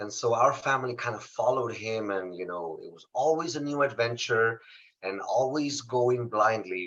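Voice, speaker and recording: A man with a Spanish accent has a bright, sharp tone. He speaks at a moderate pace with lively intonation. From Mexico, Saltillo, Coahuila. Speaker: motivational speaker. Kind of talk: interview testimony.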